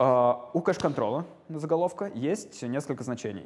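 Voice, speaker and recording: A man with an unremarkable speaking voice, lively intonation and a moderate pace. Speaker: lecturer. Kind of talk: lecture. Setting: lecture hall with students. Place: classroom. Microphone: lapel.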